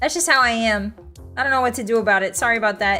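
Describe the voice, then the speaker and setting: A woman talks at a very fast pace with a fairly high pitch. Her pitch varies in an ordinary way, and music plays in the background. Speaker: VTuber streamer.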